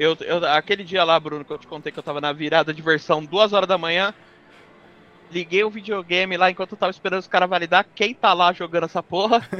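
A man's high-pitched voice at a very fast pace, with fairly even intonation and big swings in loudness. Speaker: podcast co-host. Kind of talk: casual chat.

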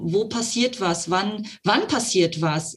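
At a fairly slow pace, a woman speaks somewhat breathily at a medium pitch with ordinary pitch variation. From eastern Germany, Brandenburg (Cottbus). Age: 50s. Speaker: mayor. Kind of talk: interview.

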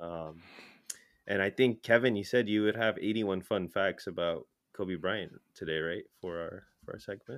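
Ordinary pitch variation marks a man's fairly low pitch in a plain, everyday voice delivered at a moderate pace. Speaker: podcast co-host. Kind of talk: casual chat podcast.

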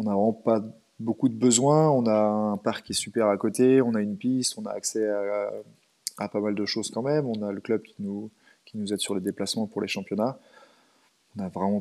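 A man speaks at a moderate pace in a fairly low pitch, his intonation fairly even and broken by long, frequent pauses. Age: 30s. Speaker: amateur runner and running coach. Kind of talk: casual interview. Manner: hesitant, many fillers and repetitions.

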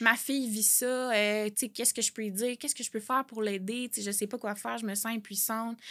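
Speaking at a fairly quick pace with hardly any pauses, a woman has a bright, sharp tone, fairly high pitch and monotone, flat intonation, on a very clean recording with a silent background. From Quebec, L'Assomption. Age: 20s. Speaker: graphic designer and author. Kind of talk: personal testimony interview.

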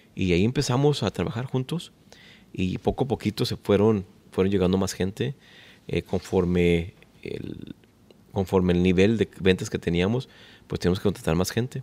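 A man talks at a moderate pace and fairly low pitch, his tone dark and mellow, with ordinary pitch variation and long, frequent pauses. The sound is dry and close with no echo, on a very clean recording with a silent background. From northern Mexico, Ciudad Juárez. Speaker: furniture store owner. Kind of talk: interview. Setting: furniture store.

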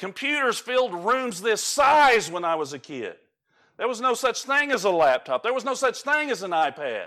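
A man with an American accent uses a raised, projected voice with an extremely high pitch and a bright, sharp tone. His pitch swings very widely on a very clean recording with a silent background. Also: moderate pace. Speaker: preacher. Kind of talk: sermon. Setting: church. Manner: halting, many fillers.

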